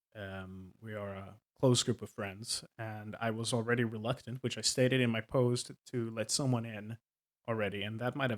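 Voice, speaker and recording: A man with a Swedish accent, recorded dry and close with no echo, over a silent background in a very clean recording. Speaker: tabletop game master, video creator. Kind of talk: casual monologue. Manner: halting, many fillers.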